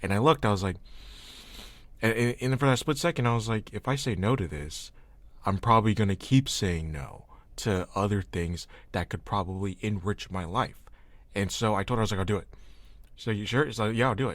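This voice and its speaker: A man speaks at a fairly quick pace in a fairly low voice, with long pauses coming often. The recording is very clean, with a silent background. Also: ordinary pitch variation. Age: 20s. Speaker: podcast host. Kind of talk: casual chat.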